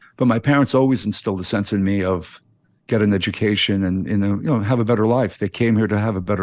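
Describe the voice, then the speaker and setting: Against a quiet background, a man with a normal speaking voice talks fairly quickly at a fairly low pitch, with fairly even intonation and very even loudness. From New York City. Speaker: addiction commentator and interview guest. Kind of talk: interview conversation.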